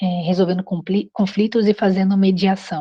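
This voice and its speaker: A woman speaks in a normal speaking voice. Her pitch is medium and her pace moderate. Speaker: course instructor. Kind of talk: online class.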